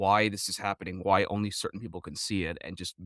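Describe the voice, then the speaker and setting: In an American accent, a man with a fairly low pitch talks at a very fast pace, in a dry, close sound with no echo and a very clean recording over a silent background. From New Jersey. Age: 20s. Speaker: gamer and streamer. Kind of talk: interview.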